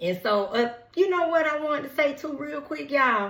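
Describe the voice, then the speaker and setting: An animated woman with an American accent and very wide pitch swings, amid noticeable background noise and audible room echo. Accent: Southern US accent, commented on by viewers. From Atlanta, Georgia (College Park), US South. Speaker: tarot reader, celebrity gossip YouTuber. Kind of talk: casual chat, tarot reading. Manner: chatty, animated.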